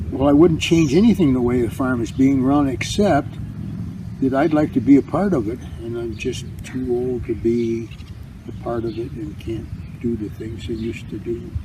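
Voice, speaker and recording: Against noticeable background noise, a man talks at medium pitch. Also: ordinary pitch variation, moderate pace. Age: 80s. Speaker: farmer. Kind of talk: interview answer.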